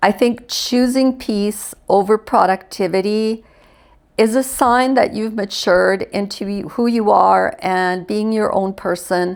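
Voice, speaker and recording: Here is a woman with a normal speaking voice, a fairly high pitch and ordinary pitch variation. She speaks at a fairly slow pace in a very clean recording with a silent background. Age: 60s. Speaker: retiree and lifestyle vlogger. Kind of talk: casual talk to camera.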